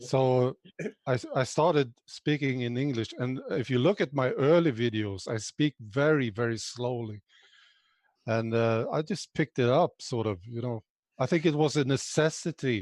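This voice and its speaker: Over a quiet background, a man talks at a medium pitch and a moderate pace. The sound is dry and close with no echo, and his pitch varies in an ordinary way. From Sweden. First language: Swedish. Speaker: political video channel host. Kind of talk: interview.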